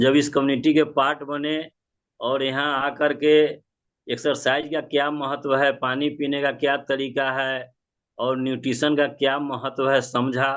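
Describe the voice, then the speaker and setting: A man talks in a fairly high voice with monotone, flat intonation. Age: 60s. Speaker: club member sharing results. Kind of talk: testimony.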